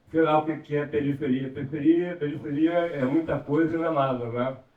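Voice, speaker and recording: Using fairly even intonation, a man talks at a moderate pace in a fairly high pitch. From Rio de Janeiro. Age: 60s. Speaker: community resident. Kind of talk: panel debate contribution. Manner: halting.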